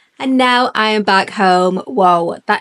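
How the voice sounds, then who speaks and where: Ordinary pitch variation in a British accent, with a dry, close sound and no echo. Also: woman. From UK. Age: 40s. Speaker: travel vlogger. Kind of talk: travel vlog narration. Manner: casual, chatty.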